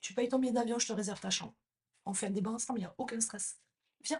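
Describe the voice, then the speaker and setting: Somewhat breathy and fairly high-pitched, a woman speaks at a fairly quick pace with lively intonation and an animated tone. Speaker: hairdresser and salon business coach, podcast host. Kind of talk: podcast monologue, impassioned rant. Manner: direct, addresses listener as tu. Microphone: new microphone.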